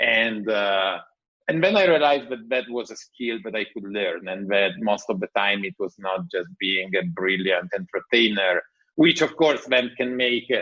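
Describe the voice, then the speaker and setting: Speaking in an Italian accent, a man uses a medium pitch, a moderate pace and lively intonation. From Italy. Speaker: tech entrepreneur. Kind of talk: podcast interview.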